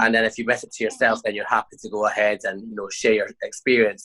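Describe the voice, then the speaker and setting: Dry and close with no echo, a man with a Scottish accent talks at a very fast pace. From Scotland. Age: 20s. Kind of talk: interview answer.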